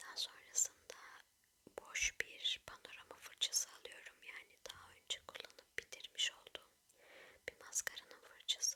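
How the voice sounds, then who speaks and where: Whispering with a gentle tone at a fairly slow pace. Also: woman. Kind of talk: ASMR makeup tutorial, whispered narration to camera. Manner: whispered, soft-spoken, gentle.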